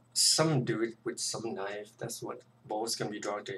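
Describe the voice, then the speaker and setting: A somewhat breathy man with a medium pitch talks at a fairly quick pace. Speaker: artist streaming a drawing tutorial. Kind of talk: live stream tutorial commentary. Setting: live stream. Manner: casual, with many fillers.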